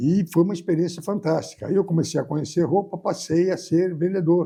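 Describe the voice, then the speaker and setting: The dark, mellow tone moves at a fairly quick pace with fairly even intonation. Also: man, high pitch for a man. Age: 80s+. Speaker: business executive. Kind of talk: interview.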